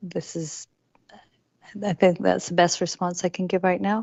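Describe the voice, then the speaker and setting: A woman speaks quietly with a fairly low pitch. Her intonation stays fairly even. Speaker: city staff official. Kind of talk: council meeting response. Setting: council meeting. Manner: formal.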